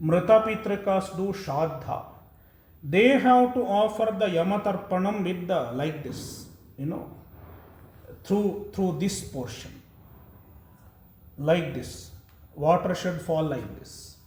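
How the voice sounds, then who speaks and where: A man with a high pitch talks at a very slow pace, with long, frequent pauses. There is audible room echo. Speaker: monk giving a religious talk. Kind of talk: religious discourse. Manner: explanatory, with hesitations.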